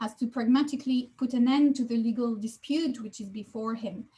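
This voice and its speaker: In a French accent, a woman speaks at a high pitch. Her pitch varies in an ordinary way. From France. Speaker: law professor. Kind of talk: lecture.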